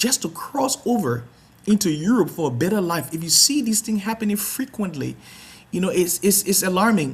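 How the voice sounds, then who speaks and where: The speaker talks at a moderate pace in a Liberian accent. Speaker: talk show host, founder of advocacy organization. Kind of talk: online talk show introduction. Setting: live online telecast. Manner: halting, many repetitions and fillers.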